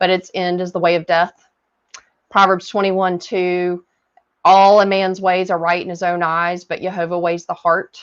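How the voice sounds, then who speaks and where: Speech in a Southern US accent at a moderate pace. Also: woman. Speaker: Bible reading coach. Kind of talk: Bible study talk and reading aloud. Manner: hesitant, frequent fillers.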